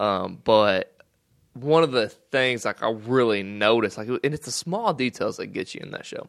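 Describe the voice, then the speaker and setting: A man at medium pitch speaks at a moderate pace with ordinary pitch variation and big swings in loudness. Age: 20s. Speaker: podcast co-host. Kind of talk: casual faith discussion.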